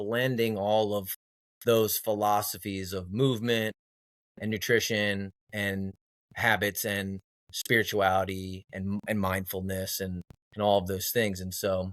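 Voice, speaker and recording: A man's fairly low voice, monotone and flat, at a fairly slow pace on a very clean recording with a silent background. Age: 30s. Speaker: personal trainer. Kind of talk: interview. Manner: halting, many fillers.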